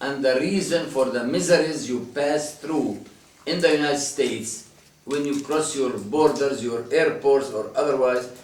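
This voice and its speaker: With an Arabic accent, a man speaks at a fairly high pitch and ordinary pitch variation, amid audible room echo and noticeable background noise. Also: moderate pace. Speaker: priest. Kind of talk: talk to a visiting group. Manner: impassioned.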